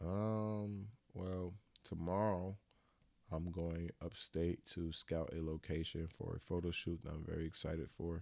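Fairly even intonation in a very deep, low male voice. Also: fairly slow pace. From Florida, US South. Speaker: photographer. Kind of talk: casual interview chat.

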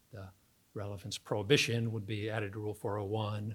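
Pitched fairly low, a man talks at a fairly quick pace in a somewhat breathy voice with fairly even intonation, in a very clean recording with a silent background. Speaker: law professor. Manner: self-deprecating, humorous.

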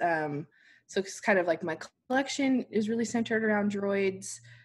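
In an ordinary speaking voice with an American accent, a woman speaks at a moderate pace and medium pitch with lively intonation. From Utah, US (Salt Lake City). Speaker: pin designer and shop owner. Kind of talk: casual interview chat.

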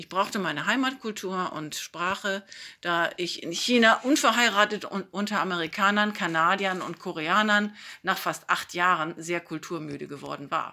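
With a bright, sharp tone, a woman speaks at a moderate pace and ordinary pitch variation. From northern Germany, Hamburg. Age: 50s. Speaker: church children's worker. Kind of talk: self-introduction. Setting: self-recorded.

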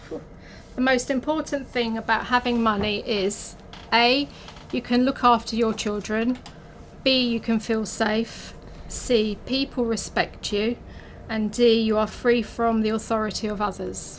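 The speaker has a London accent and talks at a fairly slow pace with monotone, flat intonation. Noticeable background noise runs under the voice. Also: woman, fairly high pitch for a woman. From North London. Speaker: office catering manager. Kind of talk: casual interview.

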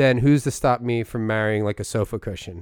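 A man with a slight Philadelphia accent and ordinary pitch variation, on a very clean recording with a silent background. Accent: light Philadelphia. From Philadelphia area, US. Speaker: comedy podcast co-host. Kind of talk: casual chat. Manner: animated.

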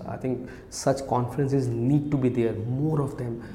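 Speech at a moderate pace, with fairly even intonation, carries audible room echo. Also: man. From India, Kolkata (Odia family). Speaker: startup founder and CEO. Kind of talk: casual interview. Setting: office.

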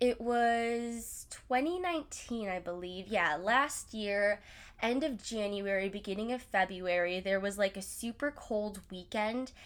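Ordinary pitch variation and a fairly slow pace come through on a very clean recording with a silent background. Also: woman, fairly high pitch for a woman. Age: 20s. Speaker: podcast host. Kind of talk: casual monologue. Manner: animated.

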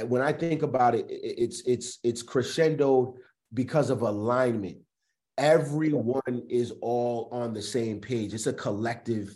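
At medium pitch and a fairly slow pace, a man speaks in a dark, mellow tone with ordinary pitch variation. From Providence, Rhode Island. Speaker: rapper and arena MC. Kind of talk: casual chat.

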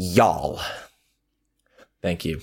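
A put-on, raspy character voice. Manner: mocking impression.

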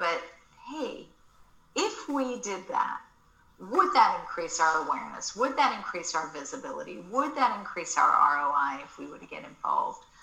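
A woman with an American accent at a moderate pace, amid noticeable background noise. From Australia. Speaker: marketing agency founder and author. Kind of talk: casual interview chat.

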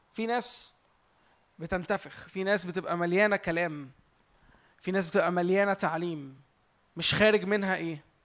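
A man's high-pitched voice at a moderate pace with fairly even intonation and long, frequent pauses. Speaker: preacher. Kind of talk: sermon. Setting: church with audience.

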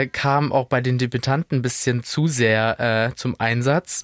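A man's medium-pitched voice at a very slow pace, fairly even in intonation, with a dry, close sound, no echo, and a very clean recording against a silent background. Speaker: podcast co-host. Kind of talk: casual chat.

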